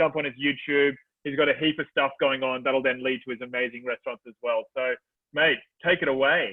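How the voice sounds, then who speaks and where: This man has an Australian accent and a fairly high pitch. He speaks at a fairly quick pace. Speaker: event host. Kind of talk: live event hosting. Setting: video call. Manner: animated; loud, yelling.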